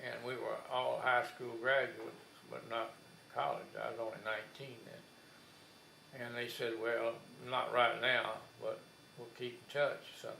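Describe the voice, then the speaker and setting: With a South Texas accent, a man speaks at a fairly slow pace. His loudness swings widely, and the room echo is audible. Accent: South Texas drawl. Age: 80s+. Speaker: war veteran. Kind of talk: oral history interview. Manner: halting.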